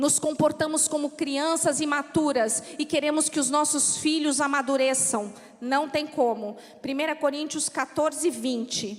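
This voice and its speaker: A woman's high voice in a São Paulo accent, fairly slow, with fairly even intonation and very even loudness, over noticeable background noise. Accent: São Paulo accent, noticeable in the south. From São Paulo, Brazil. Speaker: pastor's wife, preacher. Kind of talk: sermon. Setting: church.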